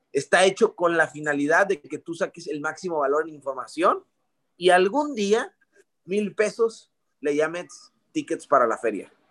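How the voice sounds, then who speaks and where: A man with a high pitch speaks at a fairly slow pace, with lively intonation and big swings in loudness. The sound is dry and close, with no echo. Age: 20s. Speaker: network marketing distributor. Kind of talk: testimony.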